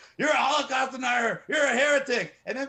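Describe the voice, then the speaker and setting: With a raised, projected voice, a man talks at a fairly quick pace in an animated, bright, sharp tone. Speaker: activist. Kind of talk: interview. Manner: loud.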